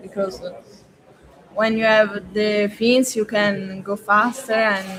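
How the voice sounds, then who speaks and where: The words come out at a very slow pace while noticeable background noise goes on. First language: not English. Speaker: freediving athlete. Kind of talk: interview. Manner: halting.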